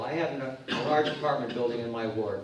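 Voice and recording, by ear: A man with a medium pitch and ordinary pitch variation speaks in a room with strong echo.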